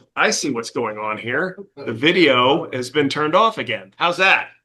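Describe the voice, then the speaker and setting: Loud and at a fairly slow pace, a man with a fairly high pitch speaks in a bright, sharp tone with lively intonation. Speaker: meeting chair of a condo association board. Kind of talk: board meeting, reading minutes aloud; business meeting. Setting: hybrid meeting room with video call. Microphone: far from microphone, behind speaker, hard to hear remotely.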